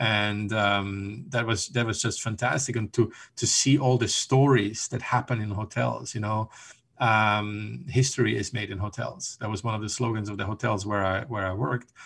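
A man with a German accent speaks at a moderate pace, his pitch fairly low with ordinary variation. The recording is very clean, the background silent. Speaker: hotel revenue consultant. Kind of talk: interview. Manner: hesitant, many ums and repeated words.

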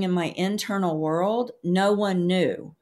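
The speech moves at a very slow pace in a Southern US accent, with ordinary pitch variation. The recording is very clean, with a silent background. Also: woman. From US South. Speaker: emotional healing educator and author. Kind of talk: interview.

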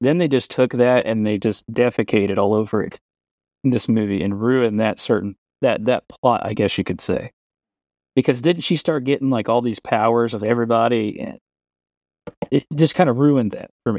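Medium in pitch with ordinary pitch variation, a man with a normal speaking voice talks at a moderate pace in a dry, close sound with no echo. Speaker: podcaster. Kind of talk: casual chat. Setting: recorded live audio chat room.

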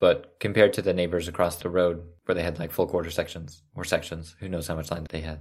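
With a very deep, low voice and a western Canadian accent, a man talks very fast in a flat monotone, with hardly any pauses and big swings in loudness. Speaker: podcast host. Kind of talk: casual chat.

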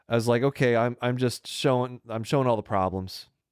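Recorded very cleanly with a silent background and a dry, close sound with no echo, a man speaks at a moderate pace in an unremarkable speaking voice with ordinary pitch variation. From US South. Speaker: podcast host, physician. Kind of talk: casual chat. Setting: home studio in spare room.

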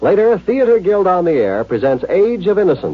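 With a slightly husky edge, the voice moves at a moderate pace through big pitch swings. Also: man, high pitch for a man.

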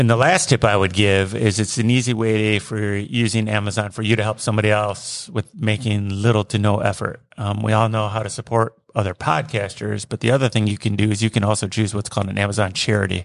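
Fairly quick in pace, a man talks in an ordinary speaking voice. His pitch sits fairly low. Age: 50s. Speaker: retiree working as a delivery driver. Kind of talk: casual chat. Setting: studio.

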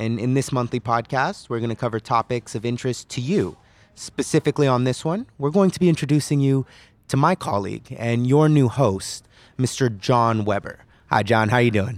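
A man with an American accent and a plain, everyday voice talks at a fairly quick pace and medium pitch with ordinary pitch variation, on a very clean recording with a silent background and a dry, close sound with no echo. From California. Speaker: podcast host, recent law graduate. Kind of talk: casual interview.

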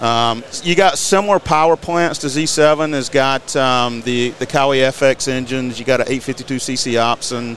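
In an American accent, the speaker goes at a moderate pace with hardly any pauses and ordinary pitch variation, over noticeable background noise. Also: man, medium pitch for a man. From Eastern North Carolina. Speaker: mower company representative. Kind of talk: podcast interview. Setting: studio.

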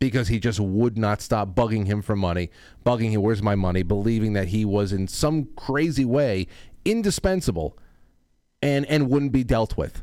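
In an ordinary speaking voice, a man with an American accent speaks at medium pitch with lively intonation and a moderate pace on a very clean recording with a silent background. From Colorado. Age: 30s. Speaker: talk show host. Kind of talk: casual chat.

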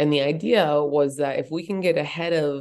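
Speaking with an American accent, a woman uses a very deep, low pitch and fairly even intonation, her tone dark and mellow. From Boulder, Colorado, US. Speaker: activist and humanitarian advocate. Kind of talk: interview conversation.

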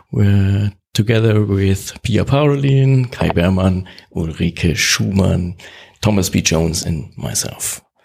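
A man with a German accent, very slow pace and lively intonation. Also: fairly low pitch for a man. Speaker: podcast host. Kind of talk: interview. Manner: halting.

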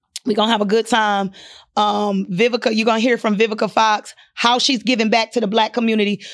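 Monotone, flat intonation at a very fast pace, with very even loudness. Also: woman, fairly high pitch for a woman. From Ohio, US. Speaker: entrepreneur. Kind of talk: casual interview.

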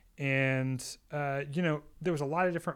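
Amid noticeable background noise, a man's fairly high voice shows ordinary pitch variation. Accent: American. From Texas, Austin. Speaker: wedding and commercial filmmaker. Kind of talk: casual chat.

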